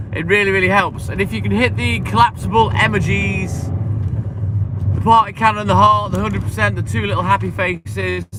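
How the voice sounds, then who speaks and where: Noticeable background noise sits behind a man speaking at a moderate pace. His fairly low voice has lively intonation. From English Midlands. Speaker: milkman livestreamer. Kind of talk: casual livestream chat.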